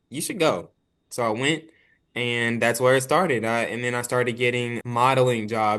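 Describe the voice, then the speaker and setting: At a moderate pace, a man with a slight country accent speaks in an animated tone and a medium pitch. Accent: slight country twang. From Arkansas and Dallas, Texas. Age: 20s. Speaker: actor and filmmaker. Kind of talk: casual interview chat. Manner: animated, many fillers.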